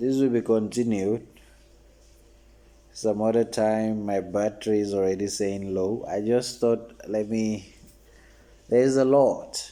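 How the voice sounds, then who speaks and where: A man talks at a fairly slow pace in a fairly low, dark, mellow voice with flat, monotone intonation. He leaves long, frequent pauses. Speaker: vlogger. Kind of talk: casual monologue.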